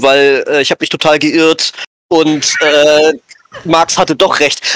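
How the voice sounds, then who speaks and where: This man's voice is fairly high in pitch. He speaks in a monotone with flat intonation. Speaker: role-playing game editor. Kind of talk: casual chat. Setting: audio-only call without camera. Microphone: too quiet.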